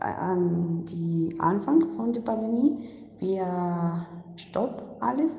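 In a Spanish accent, a woman with a fairly low pitch speaks at a very slow pace with very wide pitch swings, amid noticeable background noise and audible room echo. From Colombia. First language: Spanish (speaking German). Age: young. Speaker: international volunteer. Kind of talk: online interview. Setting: video call. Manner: halting.

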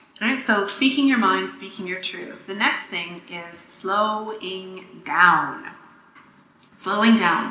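Over noticeable background noise, a woman at medium pitch speaks with ordinary pitch variation and big swings in loudness. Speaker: podcast host and pleasure coach. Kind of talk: solo podcast monologue, teaching. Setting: makeshift home recording, tinny sound. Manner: fast talker; animated, enthusiastic.

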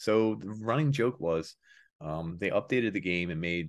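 A man's voice with a Philadelphia accent, lively intonation and a moderate pace, on a very clean recording with a silent background. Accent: Philly. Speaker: podcast host.

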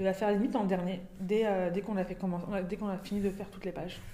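A woman speaks at a very fast pace in a medium pitch, with audible room echo and noticeable background noise. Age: 20s. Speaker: UX designer. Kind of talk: casual discussion. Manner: hesitant, many fillers.

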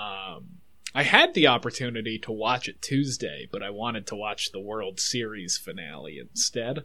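The speech moves at a moderate pace with lively intonation, big swings in loudness, a bright, sharp tone and vocal fry. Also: man, medium pitch for a man. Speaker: podcast co-host. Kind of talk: casual chat.

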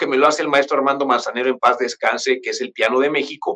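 Here a man speaks in a Mexican accent. His tone is bright and sharp, with fairly high pitch. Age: 40s. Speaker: pianist. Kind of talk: interview. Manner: halting, many fillers.

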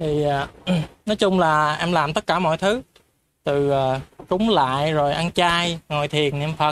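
Delivery is very slow throughout. Long pauses break it up frequently. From Mekong Delta, southern Vietnam (An Giang). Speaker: participant in spiritual discussion group. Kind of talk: personal testimony. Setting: in-person group gathering, livestreamed.

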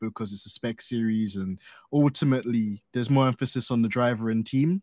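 The man has a normal speaking voice at a medium pitch. He talks at a fairly quick pace, with a dry, close sound and no echo. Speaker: podcast host. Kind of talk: casual chat.

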